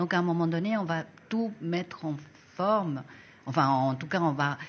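Her very deep, low pitch and ordinary pitch variation mark this woman's speech at a fairly slow pace. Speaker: design school coordinator. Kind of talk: casual interview.

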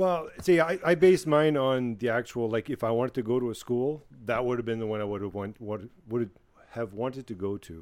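A man with an unremarkable speaking voice, medium in pitch with lively intonation, at a fairly quick pace in a very clean recording with a silent background. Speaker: podcast guest. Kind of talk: casual banter.

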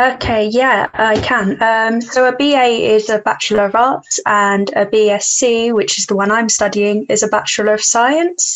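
A plain, everyday voice from a woman at a fairly high pitch, with ordinary pitch variation, very even loudness, a fairly slow pace and hardly any pauses. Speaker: university student. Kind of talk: casual chat.

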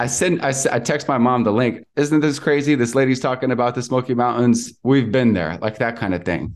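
A man speaks at a fairly quick pace in a normal speaking voice, medium in pitch with ordinary pitch variation, over a quiet background. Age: 20s. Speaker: real estate investor. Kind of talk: casual interview.

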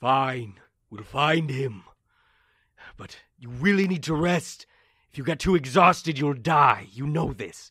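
Putting on a raspy character voice, a man speaks at a fairly slow pace with long, frequent pauses. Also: fairly high pitch for a man. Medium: actual play.

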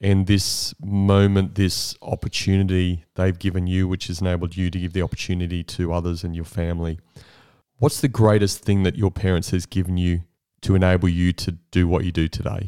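In an Australian accent, a man speaks fairly quickly with a very deep, low pitch, a dark, mellow tone and monotone, flat intonation, on a very clean recording with a silent background. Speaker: podcast host. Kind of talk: interview. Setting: host's home.

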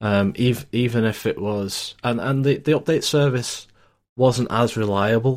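Pace is moderate and pitch medium as a man speaks. The recording is very clean, with a silent background. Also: ordinary pitch variation. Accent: Lancashire. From northern England (Lancashire). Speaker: IT support technician. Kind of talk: casual chat. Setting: VoIP call.

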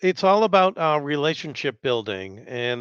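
A normal speaking voice from a man, fairly high in pitch, with lively intonation at a moderate pace, dry and close with no echo against a quiet background. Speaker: voice narrator. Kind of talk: casual interview chat.

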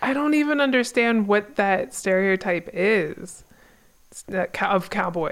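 A woman talks fairly slowly in a plain, everyday voice at a medium pitch, with lively intonation and very even loudness. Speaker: podcast co-host. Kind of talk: casual chat.

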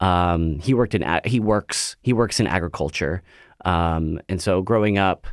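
A man with a fairly low pitch and an American accent, an unremarkable speaking voice, on a very clean recording with a silent background. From Central Valley of California. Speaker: stage actor. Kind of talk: interview.

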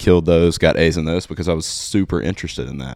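Very fast speech in an Alabama accent on a very clean recording with a silent background. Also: man. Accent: Southern US (Alabama). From US South, Alabama (Satsuma, near Mobile). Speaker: tour manager. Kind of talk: casual interview chat.

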